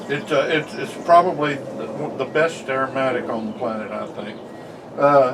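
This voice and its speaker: A man with an American accent speaks at a moderate pace in a fairly high pitch, with ordinary pitch variation and big swings in loudness. Audible room echo and noticeable background noise surround him. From US South. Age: 60s. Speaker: pipe smoker vlogger. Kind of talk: casual chat.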